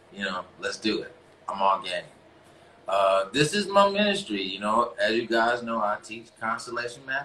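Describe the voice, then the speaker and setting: Noticeable background noise surrounds a man talking at a moderate speed. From US South, North Carolina (Greensboro). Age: 40s. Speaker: relationship coach and live-stream host. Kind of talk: casual live-stream monologue. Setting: Instagram live broadcast. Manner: halting, many fillers.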